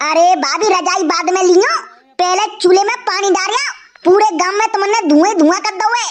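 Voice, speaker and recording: The voice is a cartoonish character voice. Its pace is moderate. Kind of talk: rustic comic dialect. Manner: loud, hawking.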